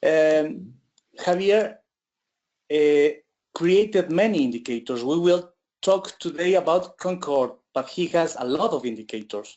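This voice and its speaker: At a fairly slow pace, with long, frequent pauses, the speaker talks with a Spanish accent. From Ecuador. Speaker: trader presenting an indicator. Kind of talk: webinar presentation. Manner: halting.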